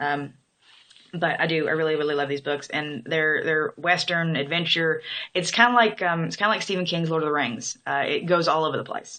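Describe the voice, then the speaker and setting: Fairly quick and in a southern Illinois accent, a woman speaks with a very deep, low pitch, a bright, sharp tone and ordinary pitch variation. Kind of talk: casual talk to camera, accent tag. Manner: hesitant, many fillers.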